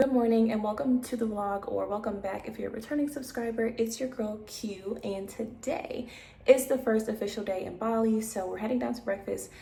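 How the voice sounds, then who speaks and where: Amid noticeable background noise and audible room echo, a woman with a fairly high pitch speaks in fairly even intonation. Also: fairly quick pace. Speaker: travel vlogger. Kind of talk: casual vlog narration. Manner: fast.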